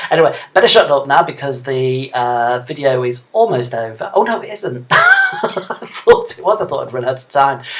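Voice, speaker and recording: Over noticeable background noise, a man with a fairly high pitch speaks at a moderate pace with lively intonation, big swings in loudness and hardly any pauses. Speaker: mixed media artist. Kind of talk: narrated art tutorial. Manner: hesitant, filler-heavy.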